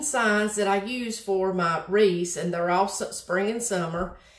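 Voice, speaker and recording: A woman's voice shows ordinary pitch variation, with audible room echo. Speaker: craft host. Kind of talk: tutorial. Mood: chatty, slightly flustered. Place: home room. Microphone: phone near.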